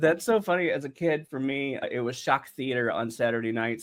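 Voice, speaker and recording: Speaking with an American accent, a man uses an ordinary speaking voice at medium pitch. His pace is fairly quick and his intonation fairly even. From North Carolina, US South. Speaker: podcast host. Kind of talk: interview.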